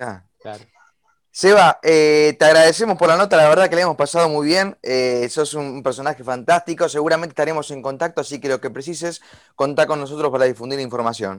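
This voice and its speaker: Speaking at a fairly quick pace in a Rioplatense accent, a man uses a fairly high pitch with ordinary pitch variation. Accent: Argentine Spanish (rioplatense). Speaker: radio host. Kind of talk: radio interview.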